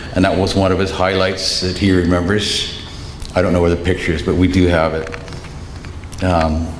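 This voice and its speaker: Very deep and low, a man's voice speaks in a monotone, flat intonation at a moderate pace. Audible room echo and noticeable background noise are present. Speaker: eulogist, son of the deceased. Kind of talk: eulogy. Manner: loud.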